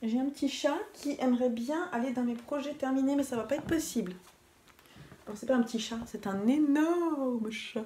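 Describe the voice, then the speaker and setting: At a moderate pace, a woman with a high pitch speaks with ordinary pitch variation amid noticeable background noise. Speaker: knitting vlogger. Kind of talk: casual vlog talk. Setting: at home in living room. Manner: soft-spoken.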